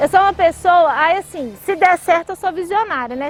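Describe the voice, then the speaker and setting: Over noticeable background noise, a woman with a Minas Gerais accent speaks at a fairly quick pace, her extremely high pitch carrying lively intonation. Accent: mineiro. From Brazil, Minas Gerais (Belo Horizonte). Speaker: tech company CEO. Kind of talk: interview. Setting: outdoors by a lake.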